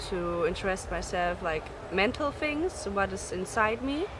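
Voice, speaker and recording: At a very slow pace, a woman with a German accent talks in a medium pitch with ordinary pitch variation, over noticeable background noise. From Germany. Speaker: singer and student. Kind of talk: casual interview.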